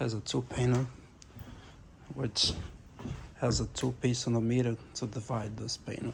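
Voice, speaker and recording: A man speaks at a moderate pace and medium pitch, his intonation fairly even. Vocal fry colors his voice, and he leaves long, frequent pauses. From Brazil. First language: Portuguese. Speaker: carpenter vlogger. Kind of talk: casual video tour.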